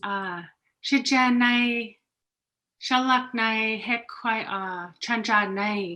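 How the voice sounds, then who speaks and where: A woman speaks at a very slow pace in a bright, sharp tone. Her pitch is fairly high and varies in an ordinary way. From Interior Alaska villages. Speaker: Native language teacher. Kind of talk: self-introduction in Native language. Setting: video call. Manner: halting.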